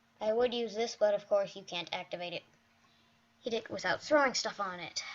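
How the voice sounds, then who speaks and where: Putting on a character voice, a fairly high-pitched woman mumbles at a fairly quick pace with big swings in loudness. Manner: mumbling.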